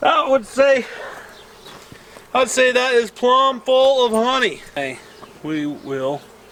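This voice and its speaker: An extremely high-pitched, loud male voice with lively intonation, a very slow pace and long, frequent pauses, over noticeable background noise. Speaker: beekeeper, homesteading vlogger. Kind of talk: casual tutorial. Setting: outdoors at a beehive. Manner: casual, halting with fillers.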